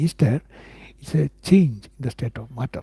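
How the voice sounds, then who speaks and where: In an Indian accent, the voice has a dark, mellow tone and ordinary pitch variation at a fairly quick pace. The sound is dry and close, with no echo. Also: man. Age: 50s. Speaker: independent physics researcher. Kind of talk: live stream talk answering viewers. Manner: halting, many fillers and repetitions.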